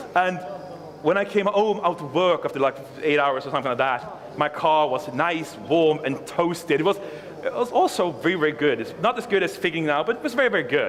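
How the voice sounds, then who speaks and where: Over noticeable background noise, a man talks at a fairly quick pace. His voice is high-pitched with lively intonation. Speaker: conference speaker, software developer. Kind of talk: conference talk. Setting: stage with audience. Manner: fast.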